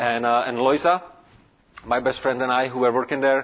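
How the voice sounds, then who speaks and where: A man with a Czech accent speaks at a medium pitch and a fairly quick pace. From Czech Republic, Prague. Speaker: pastor. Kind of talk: sermon. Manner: halting.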